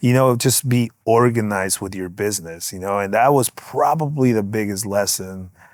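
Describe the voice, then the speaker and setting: A man with a Spanish accent at a moderate pace, fairly even intonation, dry close sound without echo, and a very clean recording over a silent background. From Guatemala, moved to Los Angeles at nine. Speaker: music mixing engineer. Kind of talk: casual interview.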